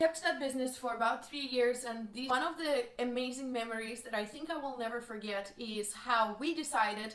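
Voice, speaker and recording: A woman with a strong Russian accent speaks at a high pitch with ordinary pitch variation, and the room echo is audible. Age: 20s. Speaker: vlogger. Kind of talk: personal life story.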